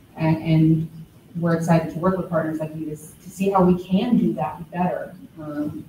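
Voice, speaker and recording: Speaking at a moderate pace with fairly even intonation, a woman with a fairly low pitch is heard over noticeable background noise and audible room echo. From Baton Rouge, Louisiana; Louisiana. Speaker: city community development official, panel moderator; panel moderator. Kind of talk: panel discussion. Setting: gallery with live audience. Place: hall.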